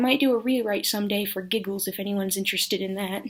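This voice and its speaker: A woman at a very fast pace with ordinary pitch variation, on a very clean recording against a silent background. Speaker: aspiring writer. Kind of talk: casual talk to camera. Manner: awkward, hesitant.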